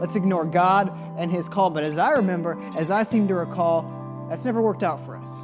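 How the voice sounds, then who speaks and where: The speech moves at a moderate pace. Music plays behind it. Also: man. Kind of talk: spoken word poetry with a religious message. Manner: rhythmic, rhyming, impassioned delivery.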